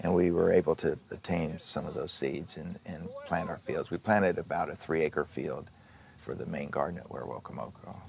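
A man's voice with big swings in loudness over noticeable background noise. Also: fairly quick pace. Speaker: film production designer. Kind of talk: behind-the-scenes interview. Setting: outdoors on film set.

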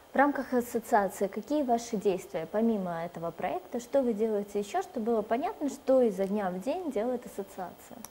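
Lively intonation from a woman with a fairly high pitch, at a fairly quick pace with hardly any pauses, amid noticeable background noise. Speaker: TV presenter. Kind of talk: TV interview. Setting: studio. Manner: formal.

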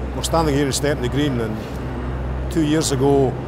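A man's voice, dry with no echo, under loud background noise. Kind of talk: interview answer. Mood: proud, upbeat. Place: tunnel cave.

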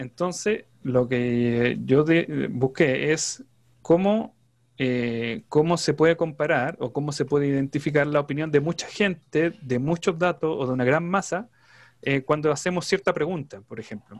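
A plain, everyday voice from a man, fairly high in pitch, at a fairly slow pace with ordinary pitch variation and a quiet background. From Chile. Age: 30s. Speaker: trader; presenter. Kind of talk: interview. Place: home room. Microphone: video call.

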